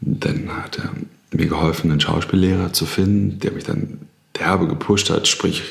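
Leaving long, frequent pauses, a man with a very deep, low pitch speaks at a moderate pace amid noticeable background noise and audible room echo. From Germany. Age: 30s. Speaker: actor. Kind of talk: casual chat.

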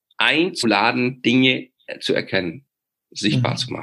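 A man's medium-pitched voice, bright and sharp in tone, with vocal fry and a very slow pace. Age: 50s. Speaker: leadership expert. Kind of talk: interview. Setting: video call.

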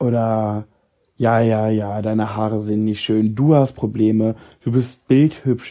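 In a dark, mellow tone, a man with a medium pitch speaks at a fairly slow pace. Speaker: podcaster and social media creator. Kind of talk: casual monologue. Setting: lying in bed at home. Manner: spontaneous, unscripted.

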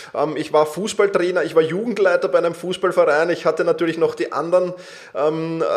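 A man's high-pitched voice at a fairly quick pace, with noticeable background noise. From Austria, Vienna. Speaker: self-management coach. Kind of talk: interview.

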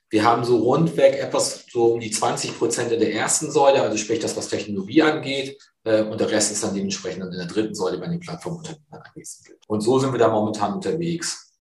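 With a plain, everyday voice, a man speaks at a medium pitch, his loudness swinging widely. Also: lively intonation, fairly quick pace. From northern Germany, near Cuxhaven. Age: 50s. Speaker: fund sales executive. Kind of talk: interview.

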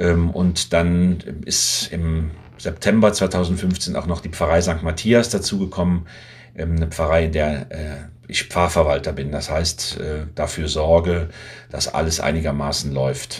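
Very slow, somewhat breathy speech with ordinary pitch variation. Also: man, very deep, low pitch for a man. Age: 60s. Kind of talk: casual interview.

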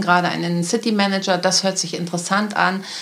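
The woman speaks at a medium pitch and a moderate pace, in a flat monotone. Noticeable background noise sits behind her. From Lüneburg, northern Germany. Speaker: city centre manager. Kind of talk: interview.

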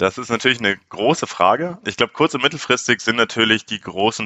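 He has an ordinary speaking voice. The man's moderate pace carries lively intonation. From Munich, Bavaria. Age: 20s. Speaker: startup founder. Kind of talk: interview.

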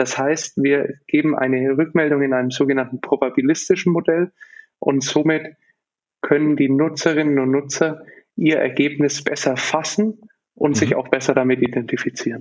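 Speaking in an ordinary speaking voice, a man with a fairly high pitch keeps a moderate pace and fairly even intonation. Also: very even loudness. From Germany, Nuremberg. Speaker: business founder and consultant. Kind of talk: podcast interview.

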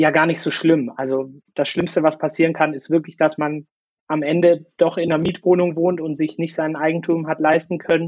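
A man at a fairly high pitch, with monotone, flat intonation and a moderate pace. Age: 20s. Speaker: former cruise ship worker. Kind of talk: interview. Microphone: crackling microphone, poor sound quality.

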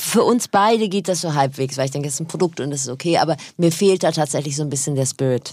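A woman talks at a very fast pace in a very deep, low voice. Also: ordinary pitch variation. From North Rhine-Westphalia. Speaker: radio presenter and podcaster. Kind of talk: casual chat. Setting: studio.

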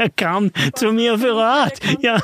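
The sound is dry and close with no echo. A man speaks with a high pitch. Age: 70s. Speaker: author and money seminar leader. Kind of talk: interview conversation.

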